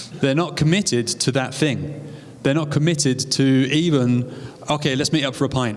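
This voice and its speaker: In a British accent, a man with a fairly high pitch speaks at a moderate pace with fairly even intonation and very even loudness, against noticeable background noise. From UK. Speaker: co-host's husband. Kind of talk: live seminar talk.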